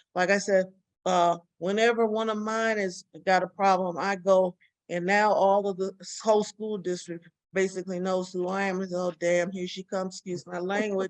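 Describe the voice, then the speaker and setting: With an American accent, a woman talks at a moderate pace and medium pitch. Her intonation is monotone and flat. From Chicago South Side. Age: 70s. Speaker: retired school counselor and educational psychologist. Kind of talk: presentation. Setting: video call.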